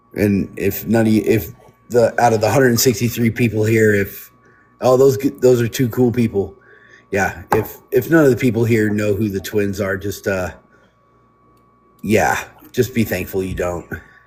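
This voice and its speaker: A man talks at a moderate speed, his voice somewhat breathy and his intonation fairly even. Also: fairly low pitch for a man. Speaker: biker club member. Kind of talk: casual chat. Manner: careful, measured wording.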